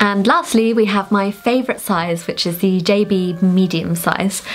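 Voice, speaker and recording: Fairly slow speech from a woman, her pitch varying in an ordinary way. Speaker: presenter. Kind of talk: product showcase chat. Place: studio.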